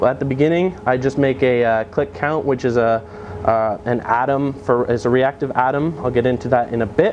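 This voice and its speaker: Background noise is noticeable here. Over it, a man talks. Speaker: software developer giving a meetup talk. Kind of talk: technical conference talk. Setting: meetup with live audience. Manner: halting, many fillers.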